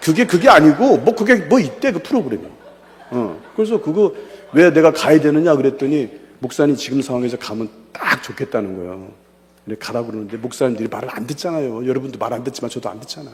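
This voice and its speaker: Over noticeable background noise, a man speaks at a very fast pace in an animated tone, with a fairly high pitch, very wide pitch swings and big swings in loudness. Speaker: pastor and evangelism lecturer. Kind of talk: seminar lecture with personal testimony. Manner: animated, conversational.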